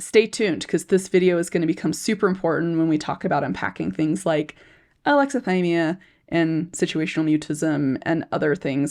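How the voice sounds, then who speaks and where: A raspy, put-on character voice at a fairly quick pace, with ordinary pitch variation. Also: woman, fairly low pitch for a woman. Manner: talking too fast.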